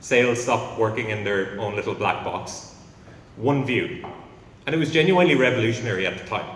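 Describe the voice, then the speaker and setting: An Irish accent carries through audible room echo. The pitch varies in an ordinary way. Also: man. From Ireland. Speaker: company founder. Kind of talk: conference talk. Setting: stage with audience.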